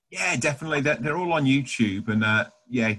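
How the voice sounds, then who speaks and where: A man with a British accent. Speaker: church youth team member. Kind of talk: casual chat.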